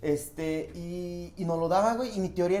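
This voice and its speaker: With a Mexican accent, a man speaks at a high pitch with ordinary pitch variation amid audible room echo. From rural Mexico. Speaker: comedian. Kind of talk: casual chat.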